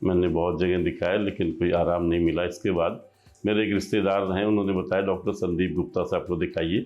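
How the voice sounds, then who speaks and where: Over music in the background, a man speaks in a monotone, flat intonation at a very deep, low pitch with very even loudness. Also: hardly any pauses. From Bahraich, Uttar Pradesh, India. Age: 60s. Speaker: lawyer, patient. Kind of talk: patient testimony.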